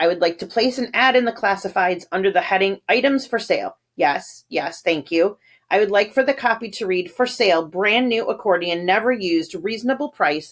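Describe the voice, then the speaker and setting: A raspy put-on character voice with a fairly high pitch rattles along at a fairly quick pace with hardly any pauses. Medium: read story. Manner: curt, commanding.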